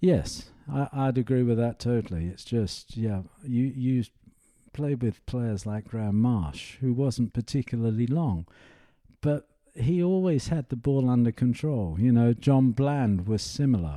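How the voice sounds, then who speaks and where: Over a quiet background, a man with a dark, mellow tone and medium pitch speaks fairly slowly with lively intonation. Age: 70s. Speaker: professional golfer. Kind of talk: casual interview chat.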